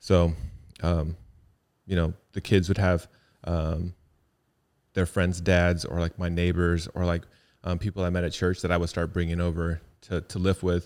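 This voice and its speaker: Very deep, low male voice in monotone, flat intonation, at a moderate pace with long, frequent pauses, on a very clean recording with a silent background. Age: 40s. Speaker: fitness podcast co-host. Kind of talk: casual chat.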